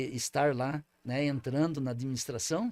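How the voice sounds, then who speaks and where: A man speaks at a moderate pace with a fairly high pitch. The recording is very clean, with a silent background. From southern Brazil, Paraná/Santa Catarina border region. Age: 60s. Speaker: former mayor. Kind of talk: interview. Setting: studio. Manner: halting, many repetitions and fillers.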